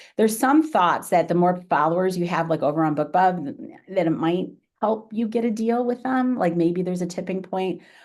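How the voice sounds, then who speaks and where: A woman speaks in a normal speaking voice at a medium pitch, with lively intonation. She keeps a moderate pace with hardly any pauses against a quiet background. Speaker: author giving marketing talk. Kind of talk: webinar presentation and Q&A.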